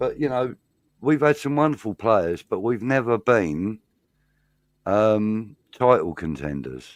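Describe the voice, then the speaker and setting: Speaking at a very slow pace, a man at medium pitch makes very wide pitch swings in a dry, close recording with no echo, very clean and with a silent background. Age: 60s. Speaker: football pundit. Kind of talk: casual chat.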